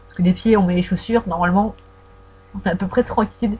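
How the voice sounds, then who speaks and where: Ordinary pitch variation from a woman, with noticeable background noise. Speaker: fan vlogger. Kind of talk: casual audio Q&A about films. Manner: hesitant, many fillers; trying to articulate carefully.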